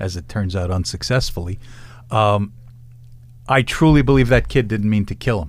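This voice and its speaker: A man in a New York accent talks at a fairly quick pace with a fairly low voice. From New York City, Lower East Side. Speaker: defense attorney. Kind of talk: casual chat.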